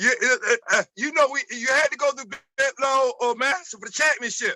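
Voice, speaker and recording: A man's raised, projected voice at an extremely high pitch, fairly quick, with ordinary pitch variation and a Baltimore accent. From Baltimore, Maryland, US. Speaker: former college basketball player. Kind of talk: interview storytelling.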